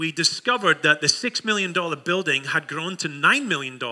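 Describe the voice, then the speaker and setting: This man has a bright, sharp tone and lively intonation. He speaks at a moderate pace. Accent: Scottish. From Scotland. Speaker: pastor. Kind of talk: sermon. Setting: church.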